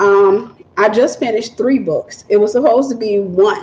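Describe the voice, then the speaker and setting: A woman with a Southern US accent and a fairly high pitch, at a moderate pace, over noticeable background noise. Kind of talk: livestream chat with viewers.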